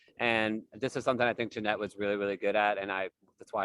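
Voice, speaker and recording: A man at a very fast pace and fairly low pitch, with an American accent, in a dry, close sound with no echo. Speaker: formerly incarcerated advocate. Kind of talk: panel discussion. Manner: loud.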